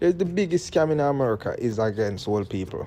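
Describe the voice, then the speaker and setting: With a Jamaican accent, a man speaks at a fairly quick pace in a dark, mellow tone. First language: Jamaican Patois. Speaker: political commentator. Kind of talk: commentary monologue. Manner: mixes standard English and patois.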